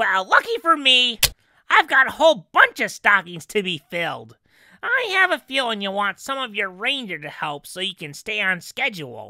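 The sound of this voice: A female-sounding, put-on character voice at a fairly high pitch speaks at a moderate pace on a very clean recording with a silent background.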